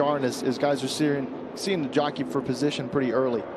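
A man with a fairly high pitch talks very fast over noticeable background noise. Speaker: race analyst. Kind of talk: live race commentary. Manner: explanatory, conversational, amused.

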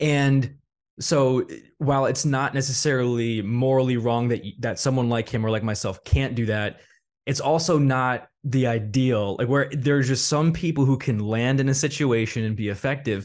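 The background is quiet. At a moderate pace, a man speaks with fairly even intonation. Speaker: podcast host. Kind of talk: casual chat. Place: home room. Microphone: studio mic.

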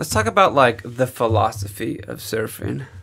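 Medium-pitched man with vocal fry, ordinary pitch variation and a moderate pace over a quiet background. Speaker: podcast host. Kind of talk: interview. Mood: relaxed, curious. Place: studio. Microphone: studio mic.

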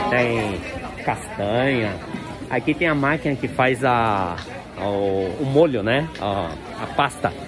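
A medium-pitched man with lively intonation at a very slow pace, long and frequent pauses, audible room echo, and crowd noise in the background. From Brazil. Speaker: vlogger. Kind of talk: walking vlog tour. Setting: outdoors at street market. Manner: casual, chatty.

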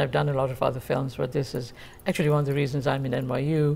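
Very deep and low in pitch, a woman's dark, mellow voice with vocal fry races at a very fast pace. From India, Bengal. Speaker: author, performer and professor. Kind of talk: interview. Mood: calm, reflective. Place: studio.

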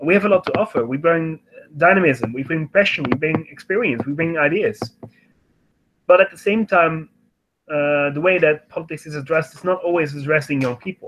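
Talking at a fairly quick pace, a man has an unremarkable speaking voice with a fairly high pitch. His pitch varies in an ordinary way, while his loudness swings widely. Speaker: youth organization representative; panelist. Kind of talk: online panel discussion. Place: home room. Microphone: webcam.

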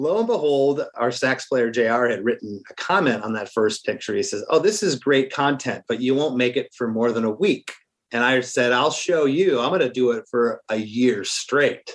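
This man has an unremarkable speaking voice with ordinary pitch variation. He keeps a moderate pace with hardly any pauses. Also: medium pitch for a man. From Florida (moved from Michigan at about seven). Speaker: singer-songwriter in a ska-punk band. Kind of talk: casual interview chat.

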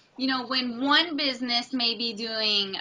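This is a woman's voice. She talks at a very slow pace. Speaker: remote interview guest. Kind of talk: interview answer. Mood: reflective, candid, some laughter. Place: home room. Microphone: video call.

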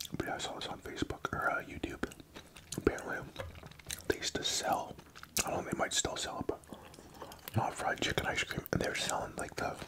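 Very fast speech from a man, loud background noise all around. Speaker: mukbang host. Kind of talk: casual vlog chat.

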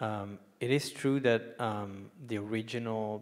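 Over a quiet background, a man with a non-native accent talks at a fairly low pitch. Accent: non-native, foreign-accented English. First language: not English. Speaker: economist, book contributor; panelist. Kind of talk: panel discussion. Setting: stage with live audience. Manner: halting, many fillers. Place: hall. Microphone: handheld.

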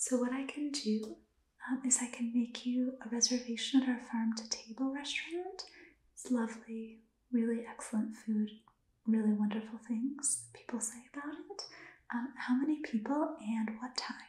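A soft-spoken woman with a high pitch and a gentle tone, at a moderate pace, with audible room echo. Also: ordinary pitch variation. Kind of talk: role-play dialogue, language practice. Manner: soft-spoken, gentle ASMR concierge voice. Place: home room. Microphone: phone near.

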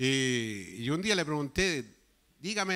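Over a quiet background, a man's pitch swings very widely. His tone is bright and sharp. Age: 70s. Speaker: pastor. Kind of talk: sermon. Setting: church. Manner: animated. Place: church. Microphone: handheld.

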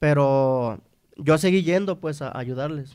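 A dark, mellow tone against a quiet background. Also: man. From Mexico, Nayarit. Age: 30s. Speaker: trumpet player in a regional Mexican band; guest. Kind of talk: interview. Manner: halting, repeats words. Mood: relaxed, casual. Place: studio. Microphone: studio mic.

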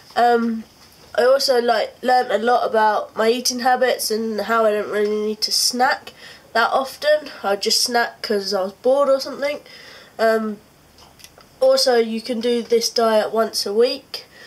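A woman with a British accent speaks at a moderate pace, her fairly high pitch carried on fairly even intonation. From UK. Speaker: vlogger. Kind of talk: video diary. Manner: casual, hesitant with frequent ums. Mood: relaxed, mildly upbeat. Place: home room. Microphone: phone near.

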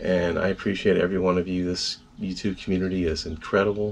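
A man's very deep, low voice. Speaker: video channel host. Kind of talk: casual vlog chat. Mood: grateful, warm. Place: home room. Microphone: phone near.

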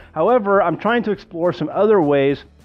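Faint music sits in the background. Over it, a man talks fairly quickly. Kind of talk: tutorial. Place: kitchen.

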